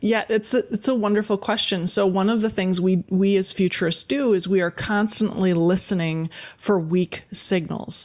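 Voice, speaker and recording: A woman with an American accent speaks at a moderate pace and a medium pitch, with very even loudness. Her intonation is fairly even, and she hardly pauses at all. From US Midwest, Wisconsin. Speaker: futurist and consultant. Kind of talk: interview conversation.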